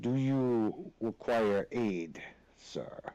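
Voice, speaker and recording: A man does a put-on character voice at a medium pitch. His intonation is lively. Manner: formal, concerned.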